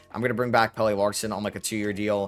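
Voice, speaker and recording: Music plays in the background. A man speaks over it. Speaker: gaming youtuber. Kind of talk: gameplay commentary. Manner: casual, with fillers.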